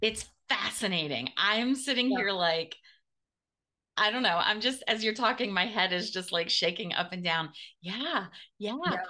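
At a moderate pace with long, frequent pauses, a woman speaks in a fairly high pitch with a bright, sharp tone. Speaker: podcast host and business mentor. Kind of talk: casual interview chat.

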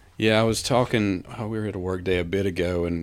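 In a very clean recording with a silent background, a man talks with a very deep, low pitch. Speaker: bicycle club president. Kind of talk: casual chat.

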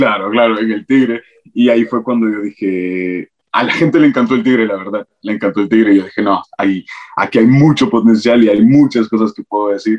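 The sound is dry and close with no echo as a man speaks at medium pitch. He talks at a fairly quick pace with fairly even intonation. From Latin America, raised by grandmother until 12. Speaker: TikTok content creator. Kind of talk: casual interview chat.

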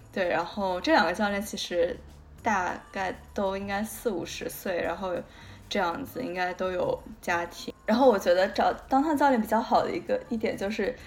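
A woman at a medium pitch and moderate pace, music in the background. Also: ordinary pitch variation. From Guangdong, China. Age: young. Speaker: podcast co-host. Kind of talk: casual chat.

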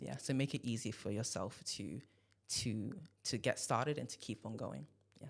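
Showing vocal fry, a man speaks at a medium pitch and moderate pace with ordinary pitch variation. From Nigeria. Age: 20s. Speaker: medical student and church musician. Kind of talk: casual chat.

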